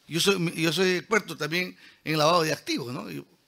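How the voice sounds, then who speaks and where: In a very clean recording with a silent background, a man talks at a fairly quick pace and fairly high pitch. His bright, sharp tone is animated and carries vocal fry. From Peruvian Amazon (San Martín, Lamas). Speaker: engineer and lecturer. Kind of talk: lecture. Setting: auditorium with audience.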